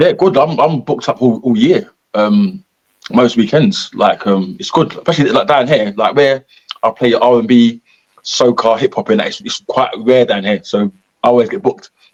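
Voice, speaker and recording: A man of medium pitch talks with a Cockney accent and very wide pitch swings. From East London. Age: 40s. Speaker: comedian and school mentor. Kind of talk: casual interview chat. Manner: fast; halting.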